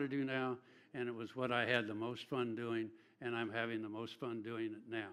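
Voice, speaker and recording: A man speaks fairly quickly at a medium pitch, with fairly even intonation. His tone is bright and sharp. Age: 70s. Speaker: internet radio broadcaster. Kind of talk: panel discussion.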